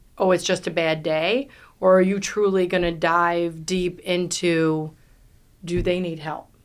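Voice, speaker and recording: In a New York accent, a woman with a fairly low pitch speaks in a monotone, flat intonation on a very clean recording with a silent background. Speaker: real estate team leader. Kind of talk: podcast interview. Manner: loud.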